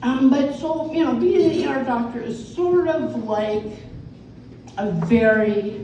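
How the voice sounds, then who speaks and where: Against noticeable background noise and audible room echo, a woman talks at a very slow pace with very wide pitch swings. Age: 70s. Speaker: comedian and ER doctor. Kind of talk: stand-up. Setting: stage with audience. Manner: animated.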